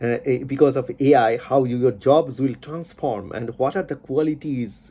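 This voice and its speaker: A man with a Bengali accent speaks at a fairly slow pace in a medium pitch with ordinary pitch variation. His voice is somewhat breathy, with a dark, mellow tone. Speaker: YouTuber, science commentator. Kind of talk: monologue commentary. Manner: halting, many fillers and repetitions.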